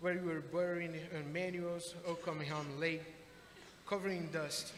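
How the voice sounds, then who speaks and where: In a Brazilian accent, a man speaks at a fairly slow pace with a high pitch and monotone, flat intonation, amid noticeable background noise and audible room echo. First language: Portuguese. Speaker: adult education graduate, HVAC technician. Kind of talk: graduation speech. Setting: graduation ceremony with audience. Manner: formal.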